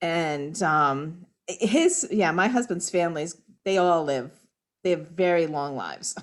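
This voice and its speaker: A normal speaking voice goes at a fairly slow pace with ordinary pitch variation. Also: woman, fairly low pitch for a woman. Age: 60s. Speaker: sewing group participant. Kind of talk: casual chat.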